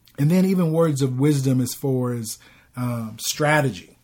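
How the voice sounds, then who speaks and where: This is a man in a normal speaking voice. The pitch moves with ordinary variation. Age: 40s. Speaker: podcast co-host. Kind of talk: casual chat.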